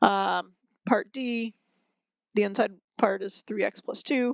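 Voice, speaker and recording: A woman speaks with vocal fry. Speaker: math teacher. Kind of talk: recorded lesson. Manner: fast; casual with fillers.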